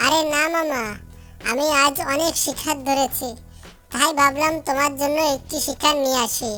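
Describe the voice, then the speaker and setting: Over clear background music, a woman performs a cartoonish character voice at a high pitch and a moderate pace. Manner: respectful to the lion.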